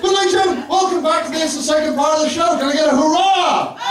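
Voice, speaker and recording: Speech comes at a very fast pace with very even loudness, audible room echo and crowd noise in the background. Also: man. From Somerset, England. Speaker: comedian, compere. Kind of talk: stand-up. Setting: comedy club stage with audience. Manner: animated.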